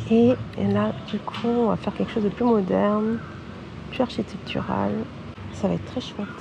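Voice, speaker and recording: A woman at a moderate pace with long, frequent pauses and noticeable background noise. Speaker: wedding photographer. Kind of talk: vlog narration.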